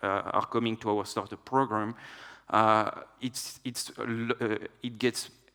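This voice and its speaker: A man at a medium pitch delivers a flat monotone with a bright, sharp tone at a fairly slow pace. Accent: French. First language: French. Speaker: tech executive, conference speaker. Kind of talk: conference talk. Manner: hesitant, many filler uhs.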